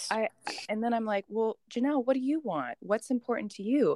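Dry and close with no echo, a woman in a plain, everyday voice speaks at a moderate pace with a fairly high pitch and lively intonation. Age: 20s. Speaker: fitness competitor. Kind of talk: casual interview chat.

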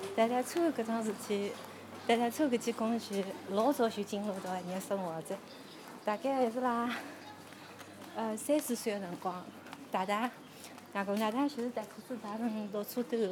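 There is noticeable background noise behind a woman with a fairly high voice. She leaves long, frequent pauses. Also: ordinary pitch variation, moderate pace. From Shanghai suburbs. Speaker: podcaster guiding a neighbourhood walk. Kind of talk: narrated walking tour and personal recollection.

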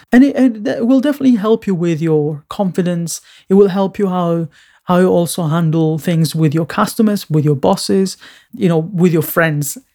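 A man speaks with a non-native accent at a moderate pace, his pitch high and his intonation lively. The recording is very clean, with a silent background. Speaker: designer and podcast host. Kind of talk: solo podcast monologue. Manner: halting, many filler words.

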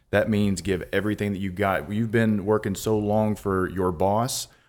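A man talks at a fairly quick pace with fairly even intonation on a very clean recording with a silent background. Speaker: real estate investor and former ballplayer. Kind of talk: casual conversational storytelling. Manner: relaxed, easygoing, uses fillers.

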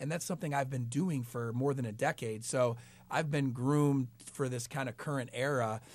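A man uses a plain, everyday voice at a medium pitch and moderate pace, with fairly even intonation, on a very clean recording with a silent background. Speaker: entrepreneur. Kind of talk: radio interview. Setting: studio.

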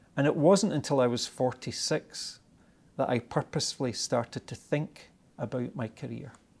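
A man with a Scottish accent speaks at a moderate pace and medium pitch, with ordinary pitch variation. The recording is very clean, with a silent background. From Scotland. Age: 50s. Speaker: tech company executive. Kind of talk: interview.

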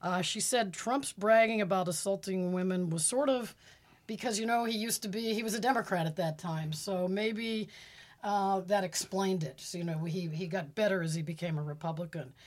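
In a plain, everyday voice with an American accent, the speaker talks at a fairly quick pace with ordinary pitch variation on a very clean recording with a silent background. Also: woman, medium pitch for a woman. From Pittsburgh, Pennsylvania. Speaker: political analyst. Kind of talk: interview.

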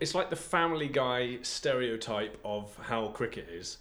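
Speaking with an English accent, a man has a bright, sharp tone and lively intonation. His pace is fairly slow. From England. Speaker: podcast co-host.

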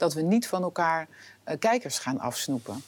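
The recording is very clean and the background silent. A woman's voice sits at a fairly low pitch. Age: 50s. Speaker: film director and TV drama executive. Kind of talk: interview. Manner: hesitant, many filler sounds.

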